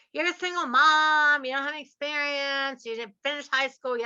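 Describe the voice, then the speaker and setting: Bright, sharp and animated, a woman with an American accent speaks at a high pitch. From US South. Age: 60s. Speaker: podcast host and real estate investor. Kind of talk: podcast interview.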